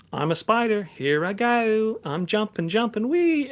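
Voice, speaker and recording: Putting on a character voice, a man talks at a moderate pace in a high register. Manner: playful, silly.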